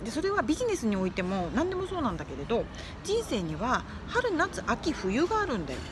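Very wide pitch swings at a fairly quick pace, with a dry sound lacking echo and noticeable background noise. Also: woman, high pitch for a woman. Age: 40s. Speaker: livestreamer and course instructor; live streamer giving life advice. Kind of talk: casual livestream chat. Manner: animated, frequent laughter. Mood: friendly, cheerful. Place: home room. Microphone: phone near.

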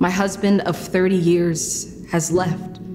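Over clear music in the background, a woman speaks in monotone, flat intonation. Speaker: spoken word artist. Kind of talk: spoken word poetry performance. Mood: earnest, emotional. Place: studio.

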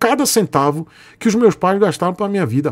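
A man's voice against a quiet background. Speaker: motorcycle youtuber. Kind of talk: casual vlog chat. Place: home room.

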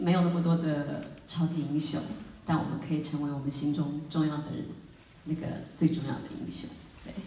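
With audible room echo and light background noise, a woman speaks at a fairly quick pace in a very deep, low pitch and a monotone, flat intonation. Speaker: film actress. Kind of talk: film premiere Q&A remarks. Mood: earnest, supportive. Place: hall.

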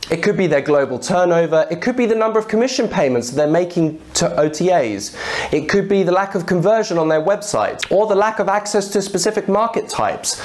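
There are hardly any pauses as a man talks at a moderate pace. His intonation is lively. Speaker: presenter. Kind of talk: tutorial. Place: office. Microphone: lapel.

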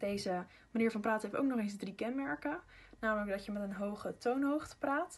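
A slightly husky edge at a moderate pace, with ordinary pitch variation. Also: woman.

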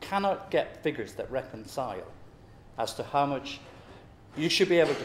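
The voice shows ordinary pitch variation, with audible room echo and light background noise. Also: man. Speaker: public speaker. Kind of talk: talk to an audience. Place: meeting room.

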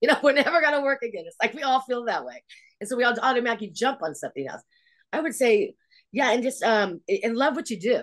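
Against a quiet background, a woman with a Californian accent talks at a very fast pace and high pitch, with lively intonation and big swings in loudness. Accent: General American (Californian). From Los Angeles. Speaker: hair department head; guest. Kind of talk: casual interview. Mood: warm, chatty. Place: home room. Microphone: video call.

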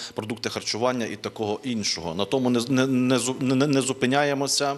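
This man, with a plain, everyday voice, keeps fairly even intonation and a medium pitch while talking at a moderate pace. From Ukraine. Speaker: priest. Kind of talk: TV interview. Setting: studio. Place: studio. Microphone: handheld.

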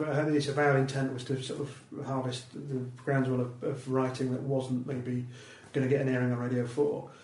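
Over noticeable background noise, a man of medium pitch speaks at a moderate pace in a flat monotone. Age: 40s. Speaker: comedian and radio producer. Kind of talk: casual chat. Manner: halting.

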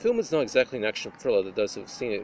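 Over light background noise, a man talks at a very fast pace with ordinary pitch variation in a dry sound with no echo. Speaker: film reviewer. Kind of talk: review commentary. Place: open country. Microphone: phone near.

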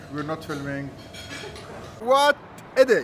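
A man with an animated tone and lively intonation speaks over noticeable background noise. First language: Lebanese Arabic. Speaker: food vlogger. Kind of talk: food vlog.

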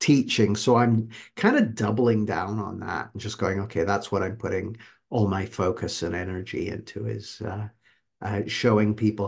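A somewhat breathy man, fairly low in pitch, with monotone, flat intonation at a moderate pace against a quiet background. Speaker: guest coach. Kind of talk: interview answer. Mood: reflective, warm. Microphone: video call.

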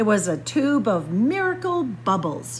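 A woman speaks slowly at a medium pitch. Her voice moves through big pitch swings.

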